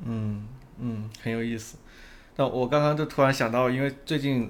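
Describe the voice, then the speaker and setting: A man at medium pitch, moderate in pace, with fairly even intonation. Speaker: podcast host. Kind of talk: casual interview.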